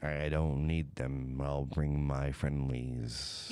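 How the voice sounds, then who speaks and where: In a put-on character voice, a man talks very slowly with a very deep, low pitch and a monotone, flat intonation over light background noise. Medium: actual play. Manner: terse, plain.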